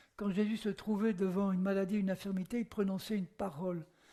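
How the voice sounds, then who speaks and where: Dark and mellow in tone yet high in pitch, a man speaks at a moderate pace. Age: 80s+. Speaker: preacher. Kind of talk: sermon. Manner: animated.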